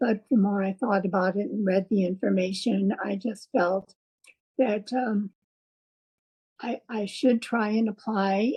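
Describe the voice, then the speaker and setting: This woman, at a medium pitch, talks at a fairly slow pace with long, frequent pauses, a somewhat breathy sound and fairly even intonation. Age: 80s+. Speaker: heart patient and patient advocate. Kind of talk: interview answer.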